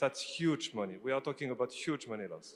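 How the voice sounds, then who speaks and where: Speaking with a French accent, a man uses lively intonation. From France. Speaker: company CEO. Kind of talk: conference presentation. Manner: animated; halting.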